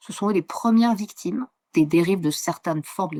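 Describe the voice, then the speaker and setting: Lively intonation marks this woman's speech. The sound is dry and close with no echo, on a very clean recording with a silent background. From southern France, Mediterranean. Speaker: geographer. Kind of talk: interview. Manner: fast, with many hesitations.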